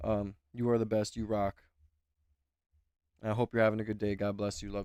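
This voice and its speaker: A man speaks fairly quickly in a dark, mellow tone with monotone, flat intonation. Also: fairly low pitch for a man. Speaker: livestream reaction host. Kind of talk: casual livestream chat. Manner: quiet today.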